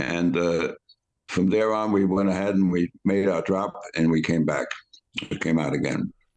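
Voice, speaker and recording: Very deep and low, a man's voice in a New York accent keeps fairly even intonation and very even loudness at a moderate pace, broken by long, frequent pauses. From New York City, the Bronx. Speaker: war veteran. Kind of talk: interview storytelling. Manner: halting.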